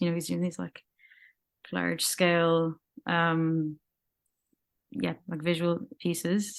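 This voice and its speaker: A woman talks with an Irish accent at a moderate pace. Her pitch sits fairly low. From Ireland. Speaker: musician. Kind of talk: interview answer. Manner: casual, hesitant.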